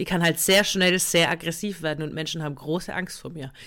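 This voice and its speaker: This woman, fairly low-pitched, talks at a fairly quick pace on a very clean recording with a silent background. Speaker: comedian and podcast co-host. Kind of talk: casual chat.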